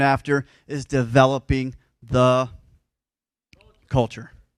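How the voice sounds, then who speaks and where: A man's voice, dry and close with no echo, in a very clean recording with a silent background. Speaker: pastor. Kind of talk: sermon. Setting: church. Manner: fast.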